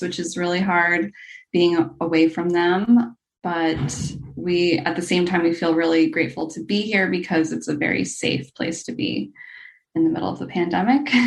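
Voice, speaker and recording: An unremarkable speaking voice with an American accent. The pace is moderate. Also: woman. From USA. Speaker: new mother sharing birth story. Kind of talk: interview.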